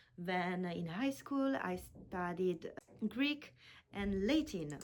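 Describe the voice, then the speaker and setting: Lively in intonation, a woman with an Italian accent speaks at a fairly low pitch. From Italy. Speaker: language teacher. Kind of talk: self-introduction video. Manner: halting.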